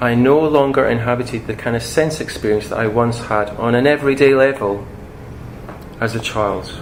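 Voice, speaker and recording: Spoken at a moderate pace with a Scottish accent, the voice keeps a fairly even intonation over noticeable background noise and audible room echo. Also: man, medium pitch for a man. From Scotland. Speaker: speaker on imagination and psychology. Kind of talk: public talk. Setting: talk to an audience.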